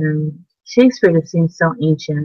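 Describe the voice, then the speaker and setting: Somewhat breathy, a woman with an American accent speaks at a very deep, low pitch. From Simi Valley, California. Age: 50s. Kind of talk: interview answer. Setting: video call. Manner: casual, conversational.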